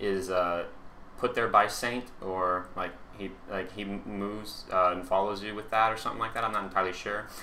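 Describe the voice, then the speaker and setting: A man's fairly low, bright, sharp voice with fairly even intonation and audible room echo. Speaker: gaming YouTuber. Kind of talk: gameplay commentary. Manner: halting, many fillers.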